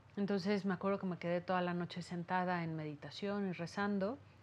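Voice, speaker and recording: Using an ordinary speaking voice, a woman talks at a fairly low pitch and a moderate pace with fairly even intonation. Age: 40s. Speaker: therapist and meditation teacher. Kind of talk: interview testimony. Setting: her office. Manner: calm, soothing.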